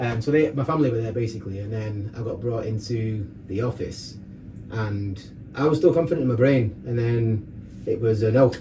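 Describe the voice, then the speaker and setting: A man talks with a dark, mellow tone and a somewhat breathy quality, at medium pitch with ordinary pitch variation. Audible room echo surrounds his voice. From northern England, Rochdale, Greater Manchester. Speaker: fitness coach and DJ. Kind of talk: casual chat, personal story. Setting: sauna. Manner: fast.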